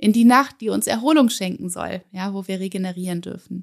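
At a moderate pace, a woman speaks in a plain, everyday voice of medium pitch, captured in a very clean recording with a silent background. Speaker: podcast host and meditation guide. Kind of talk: guided meditation. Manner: gentle, warm, with pauses between affirmations.

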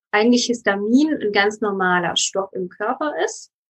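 At a fairly slow pace, a woman talks in a fairly high pitch with a normal speaking voice. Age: 30s. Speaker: lawyer, yoga teacher and nutrition coach. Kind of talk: interview.

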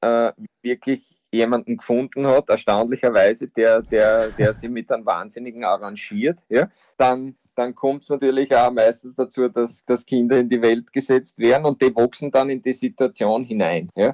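A man with an Austrian accent speaks at a moderate pace, his medium pitch showing ordinary variation. The sound is dry and close, with no echo. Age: 50s. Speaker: football coach. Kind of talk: interview.

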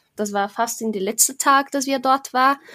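A woman with a Portuguese accent is heard in a dry, close sound with no echo. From Brazil. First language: Portuguese (speaking German). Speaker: board game podcaster. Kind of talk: casual chat. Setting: video call.

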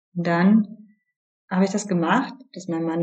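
A somewhat breathy woman at a medium pitch, moderate in pace, with ordinary pitch variation. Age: 30s. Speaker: yoga teacher and coach. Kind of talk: interview.

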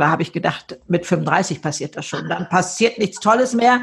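Vocal fry in a woman's speech, its pitch varying in an ordinary way. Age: 70s. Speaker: author and keynote speaker. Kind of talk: interview. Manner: animated.

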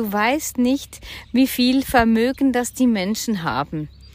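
The woman has a high voice with ordinary pitch variation. She speaks at a fairly slow pace. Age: 50s. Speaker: podcast co-host on personal finance and crypto. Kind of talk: casual chat.

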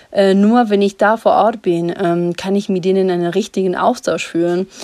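Medium pitch from a woman speaking. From Ecuador. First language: Spanish (speaking German). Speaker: coffee importer and company co-founder. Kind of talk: voice message. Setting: recorded remotely in Ecuador.

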